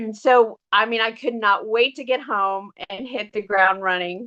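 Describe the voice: The tone is fairly bright, with ordinary pitch variation and a fairly slow pace. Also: woman, fairly high pitch for a woman.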